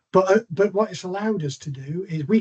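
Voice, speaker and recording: A man speaks with a West Country accent. His pace is fairly quick. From England, Bristol. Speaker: NHS procurement executive. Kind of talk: online presentation. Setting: video call. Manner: fast.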